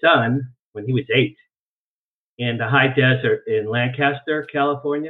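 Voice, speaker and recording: A man talks in a normal speaking voice at a fairly slow pace. His pitch is medium, with ordinary pitch variation. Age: 60s. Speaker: UFO researcher and publicist. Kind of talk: interview. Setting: video call.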